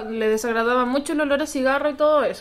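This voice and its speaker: A woman with a Chilean accent talks at a high pitch with fairly even intonation. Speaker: podcast co-host. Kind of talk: casual chat.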